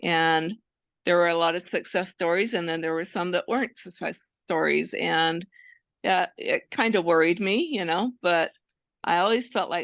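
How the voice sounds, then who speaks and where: Against a quiet background, a woman with a fairly low pitch and vocal fry speaks at a moderate pace with ordinary pitch variation, in a dry, close sound with no echo. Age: 60s. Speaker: patient. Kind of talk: interview testimony.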